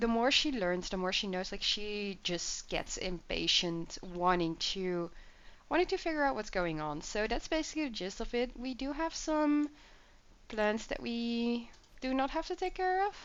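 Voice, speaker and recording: A woman's fairly high voice in a Dutch accent, with very wide pitch swings and a moderate pace. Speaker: gaming YouTuber. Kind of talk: gameplay commentary. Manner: casual, filler-heavy.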